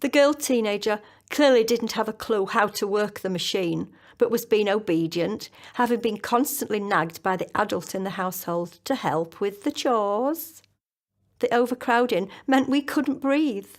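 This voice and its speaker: On a very clean recording with a silent background, a woman with a fairly high pitch and an ordinary speaking voice talks at a moderate pace with lively intonation. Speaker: author. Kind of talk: children's story reading.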